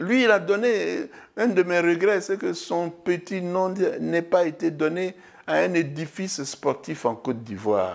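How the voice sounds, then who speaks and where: Very slow, lively speech from a man with a high pitch, in a very clean recording with a silent background. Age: 70s. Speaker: former TV host. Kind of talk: interview. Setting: at home.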